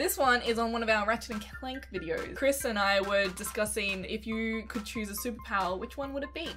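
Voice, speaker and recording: Clear music plays behind a woman speaking in an Australian accent at a fairly quick pace with hardly any pauses. Her pitch sits fairly high and varies in an ordinary way. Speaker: gaming YouTuber. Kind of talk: casual talk to camera. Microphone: webcam.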